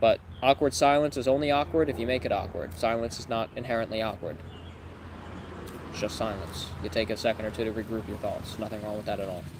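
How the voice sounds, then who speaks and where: A man at a medium pitch, very fast, with ordinary pitch variation. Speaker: life coach. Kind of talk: live stream Q&A reading chat questions. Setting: livestream.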